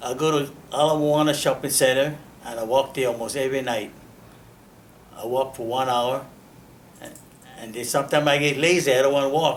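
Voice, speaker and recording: Using a Hawaiian accent, a man speaks fairly quickly at a fairly high pitch with fairly even intonation, big swings in loudness, and long, frequent pauses. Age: 80s+. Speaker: World War II era Pearl Harbor worker. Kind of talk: interview answer, personal memories.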